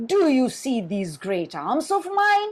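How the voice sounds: Using a put-on character voice, a woman speaks at a fairly slow pace in a high pitch with very wide pitch swings.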